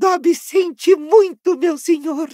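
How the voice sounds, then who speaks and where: A put-on character voice, squeaky and extremely high in pitch, at a fairly slow pace. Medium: read story. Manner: anxious, fawning, talks of himself in third person.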